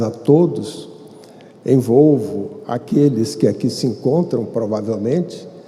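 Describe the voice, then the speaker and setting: A man talks at a very slow pace with lively intonation. Audible room echo and noticeable background noise fill the recording. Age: 70s. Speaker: spiritist lecturer. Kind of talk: lecture. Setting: stage with audience. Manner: formal.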